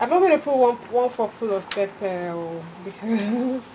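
Here a woman speaks at a very slow pace. Noticeable background noise is present. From Nigeria. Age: 20s. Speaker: voice-over artist. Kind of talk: casual cooking vlog to camera. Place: kitchen. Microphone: phone near.

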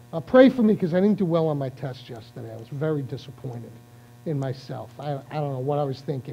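Background music is playing. A man speaks fairly quickly over it. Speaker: preacher. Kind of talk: sermon. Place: church.

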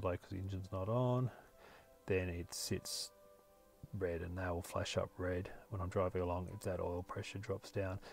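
Faint music plays in the background behind a man. His pitch is fairly low and the sound is dry, with no echo. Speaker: car owner reviewing a gauge display. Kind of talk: tutorial. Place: car. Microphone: phone near.

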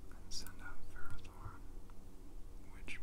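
The voice is whispering. Its tone is relaxed. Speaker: ASMR whisperer / gameplay narrator. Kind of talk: ASMR whispered gameplay commentary. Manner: whispered, rambling, relaxed. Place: home room.

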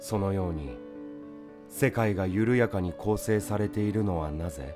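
Music plays in the background as a man speaks with a fairly low pitch. His tone is calm and soothing. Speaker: actor. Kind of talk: poetry reading. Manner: calm, soothing.

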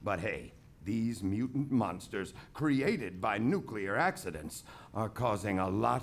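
Very slowly, a man speaks in a fairly low voice with vocal fry and very wide pitch swings. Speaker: storyteller. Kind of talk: reading aloud. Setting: stage with live audience. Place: stage. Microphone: studio mic.

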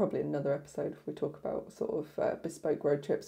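A woman talking at a fairly quick pace against a quiet background. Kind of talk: casual vlog chat. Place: home room. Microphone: lapel.

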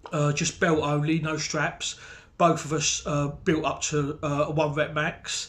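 A man speaks fairly slowly in a somewhat breathy, monotone, flat voice. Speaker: strength training vlogger. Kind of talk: casual vlog chat. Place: home room. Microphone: webcam.

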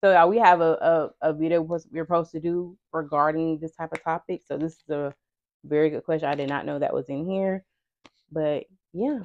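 A woman talks at a fairly quick pace. Her voice is fairly low and her intonation fairly even. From US South, Georgia. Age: 30s. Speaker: lifestyle vlogger. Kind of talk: casual chat. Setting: home recording with mics.

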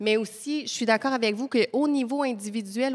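In a Quebec accent, the speaker moves at a fairly quick pace with fairly even intonation against a quiet background. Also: woman. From Nunavik, grew up in La Tuque, Quebec. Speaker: nutritionist. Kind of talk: panel discussion. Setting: live panel at a community centre. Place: hall. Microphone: handheld.

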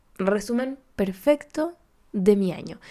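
A woman speaks in a fairly high voice with a dark, mellow tone. The recording is very clean, with a silent background. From Chile, Córdoba. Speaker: podcast host. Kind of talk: casual chat.

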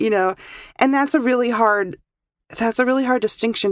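A woman uses an unremarkable speaking voice at a fairly high pitch and fairly quick pace. The background is quiet. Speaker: audio engineer. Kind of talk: casual chat.

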